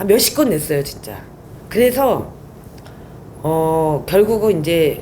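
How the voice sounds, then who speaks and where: In a room with audible echo, a woman with a fairly low pitch and a dark, mellow tone speaks very slowly, her pitch swinging very widely between long, frequent pauses. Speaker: whistleblower. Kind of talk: interview testimony.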